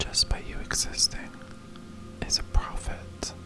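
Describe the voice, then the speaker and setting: A woman whispers in a gentle, soothing tone. Noticeable background noise can be heard. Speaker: ASMR creator. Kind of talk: ASMR sleep relaxation talk. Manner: soft, gentle, soothing.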